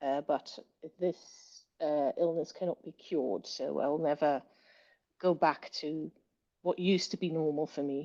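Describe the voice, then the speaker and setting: Speaking fairly slowly with a British accent, a woman uses a very deep, low pitch and fairly even intonation, the sound dry and close with no echo. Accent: British accent, learned. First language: Dutch. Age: 30s. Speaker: writer and linguist. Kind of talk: interview. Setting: podcast. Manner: hesitant, many fillers.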